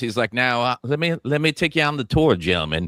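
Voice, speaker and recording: A man with an unremarkable speaking voice and a fairly high pitch for a man is heard in a dry, close sound with no echo. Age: 40s. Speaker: comedian and podcast host. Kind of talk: casual chat. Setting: studio.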